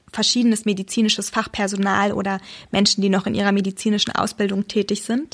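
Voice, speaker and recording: The background is silent, and the recording is very clean. The speech has monotone, flat intonation. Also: woman. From Saxony, Germany. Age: 20s. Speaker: doctor. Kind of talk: interview. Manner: hesitant, many fillers.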